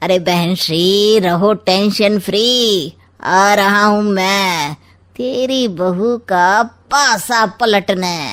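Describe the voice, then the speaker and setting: In a cartoonish character voice, the speaker talks at a very slow pace with very even loudness. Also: woman, medium pitch for a woman. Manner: sly, smooth, sarcastic.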